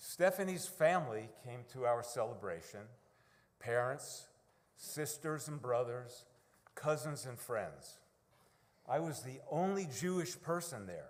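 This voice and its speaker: In a New York accent, a man with a fairly high pitch speaks with lively intonation, big swings in loudness and long, frequent pauses, and audible room echo is present. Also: fairly slow pace. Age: 70s. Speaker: congregation member. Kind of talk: testimony.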